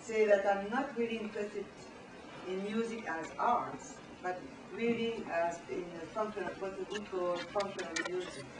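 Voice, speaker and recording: A woman with a strong French accent talks at a medium pitch and a moderate pace, her intonation fairly even. The recording has noticeable background noise and audible room echo. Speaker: professor. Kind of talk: lecture. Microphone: poor camera recording.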